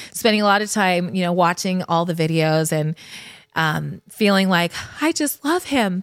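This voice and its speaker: A woman with an American accent, a plain, everyday voice at medium pitch, ordinary pitch variation and a moderate pace. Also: very clean recording, silent background. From Connecticut, Fairfield. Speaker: podcast host and brand founder. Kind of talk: personal storytelling monologue. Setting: studio couch.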